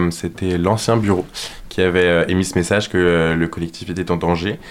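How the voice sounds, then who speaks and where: Noticeable background noise surrounds a man's very deep, low voice at a moderate pace. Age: young. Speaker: student activist. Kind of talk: radio interview.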